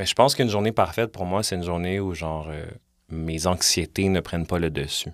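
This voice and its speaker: A man speaks at a moderate pace in a very deep, low voice with ordinary pitch variation, on a very clean recording with a silent background. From Montreal, Quebec (Villeray). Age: 30s. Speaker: podcaster and musician. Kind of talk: casual interview chat. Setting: studio.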